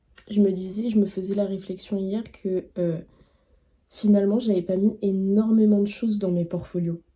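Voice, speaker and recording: A woman with a dark, mellow tone speaks in a flat, monotone way. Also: medium pitch for a woman, moderate pace. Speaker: vlogger and art student. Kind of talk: casual vlog. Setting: outdoors, walking. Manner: hesitant.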